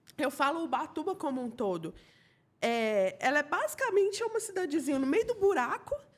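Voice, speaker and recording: A woman speaks in an extremely high pitch. Her tone is animated. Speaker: podcast host. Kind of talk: casual interview chat. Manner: animated, laughing.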